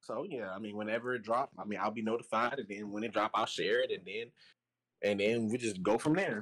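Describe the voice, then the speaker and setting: With a Tennessee accent, a man talks at a fairly quick pace in a medium pitch with ordinary pitch variation. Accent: Southern US (Tennessee). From US South, Chattanooga, Tennessee. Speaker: musician and podcast guest. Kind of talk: casual chat.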